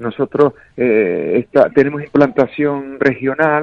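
A man with an unremarkable speaking voice talks at a fairly slow pace, his pitch fairly high with ordinary pitch variation. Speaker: sponsor, father of a sailor. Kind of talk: casual chat.

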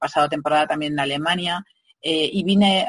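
With an ordinary speaking voice, a woman talks at a fairly quick pace with ordinary pitch variation, the sound dry and close with no echo. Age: middle-aged. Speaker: legal marketing consultant. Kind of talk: interview.

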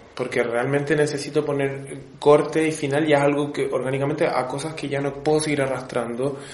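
A man's fairly high-pitched voice, fairly quick and with hardly any pauses, in a monotone, flat intonation, over noticeable background noise and audible room echo. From Chile. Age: 30s. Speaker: tarot reader. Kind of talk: casual chat.

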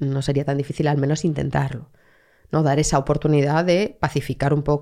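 A woman with a central Spanish accent, very deep and low in pitch, with a dark, mellow tone. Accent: central Spain Spanish. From Madrid, Spain. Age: 40s. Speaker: researcher on youth gangs, former gang member. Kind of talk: interview conversation.

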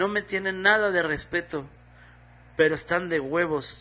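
With a Mexican accent, a man talks at a moderate pace in a fairly high pitch with ordinary pitch variation. His tone is bright and sharp over a quiet background. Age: 40s. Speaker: comedian. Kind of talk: casual monologue.

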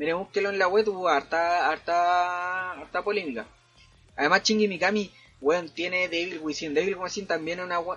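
A man with a Chilean accent and a high pitch speaks at a moderate pace with fairly even intonation, music playing in the background. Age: 20s. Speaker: podcaster. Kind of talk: casual chat. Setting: at home. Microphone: new microphone.

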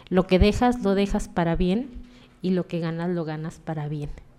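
A woman's dark, mellow voice at a medium pitch, with ordinary pitch variation and a moderate pace. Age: 50s. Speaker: podcast host. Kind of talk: casual chat.

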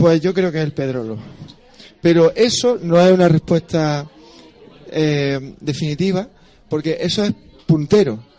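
There are long, frequent pauses as a man speaks at a fairly high pitch with ordinary pitch variation over noticeable background noise. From Andalusia, Spain (Almería/Granada). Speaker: astrophysicist and musician. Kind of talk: casual chat. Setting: bar with live audience.

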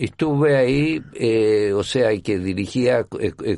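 With vocal fry and very wide pitch swings, a man talks at a fairly slow pace over a quiet background. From Chile. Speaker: orchestra conductor. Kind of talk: interview. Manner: halting.

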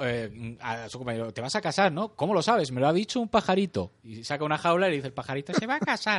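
A normal speaking voice from a man, fairly high in pitch, with lively intonation, a fairly quick pace and a quiet background. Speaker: podcast host. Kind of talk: casual chat.

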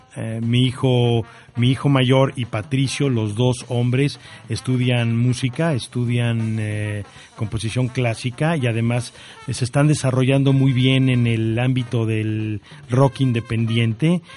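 With music in the background, a man speaks at a fairly slow pace in a medium pitch, his intonation fairly even. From Mexico City. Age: 50s. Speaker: orthopedic surgeon and university director. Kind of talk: radio interview. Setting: radio studio. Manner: hesitant, many fillers.

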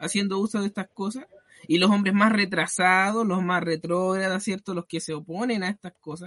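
Raising and projecting his voice, a man speaks at a moderate pace with high pitch and a bright, sharp tone. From Chile. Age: 20s. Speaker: church deacon. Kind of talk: religious talk show discussion.

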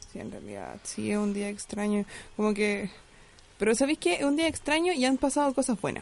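A woman speaks at a fairly quick pace in a plain, everyday voice, her pitch fairly high. Her intonation is lively, and her loudness swings widely. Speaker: podcast co-host. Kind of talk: casual chat.

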